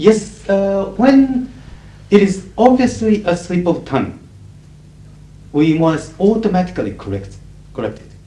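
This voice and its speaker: The speaker goes at a fairly slow pace with long, frequent pauses, big swings in loudness, ordinary pitch variation, and audible room echo. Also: man, high pitch for a man. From Japan. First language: Japanese. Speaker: conference interpreter. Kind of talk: lecture Q&A. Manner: articulate, neutral professional English.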